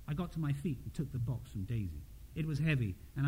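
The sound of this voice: Lively intonation marks an unforced reading voice.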